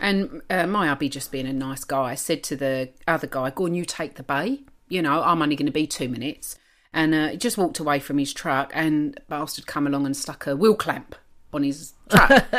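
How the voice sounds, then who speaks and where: A woman with a very deep, low voice speaks at a moderate pace with ordinary pitch variation, recorded very cleanly against a silent background. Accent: East London. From East London, England; lives in Adelaide, Australia. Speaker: podcast co-host. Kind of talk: casual, slangy. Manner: chatty, long-winded storyteller.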